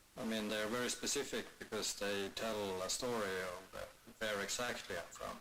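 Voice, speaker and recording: A man with a fairly low voice talks at a moderate pace with fairly even intonation, and the room echo is audible. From Sápmi (northern Scandinavia). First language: Sami. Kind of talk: talk at a presentation event. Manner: halting, many fillers.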